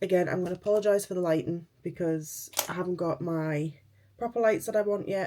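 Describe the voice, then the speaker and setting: With a Geordie accent, a woman speaks at a moderate pace, her dark, mellow tone sitting fairly low in pitch with ordinary variation. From northern England, Newcastle. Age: 30s. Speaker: beauty vlogger. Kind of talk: casual chat.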